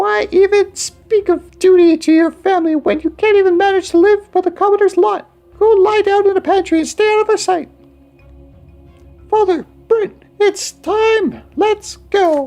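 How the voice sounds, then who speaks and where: A man does a squeaky put-on character voice at an extremely high pitch. He keeps a moderate pace while faint music plays in the background. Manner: scolding, harsh.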